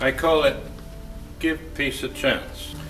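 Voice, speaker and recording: Noticeable background noise and audible room echo surround a man speaking at a fairly slow pace. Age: 80s+. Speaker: war veteran. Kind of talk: reading aloud.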